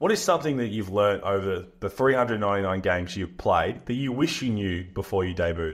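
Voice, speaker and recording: A man speaks at a moderate pace in an Australian accent, with hardly any pauses. His pitch is fairly low, with ordinary pitch variation. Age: 30s. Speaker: podcast host, former basketball player. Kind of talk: interview.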